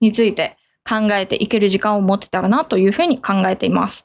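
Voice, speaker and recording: A woman speaks at a fairly quick pace in an ordinary speaking voice of medium pitch, recorded very cleanly against a silent background. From Japan. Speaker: management consultant. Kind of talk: casual radio-style talk. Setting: poor microphone setup.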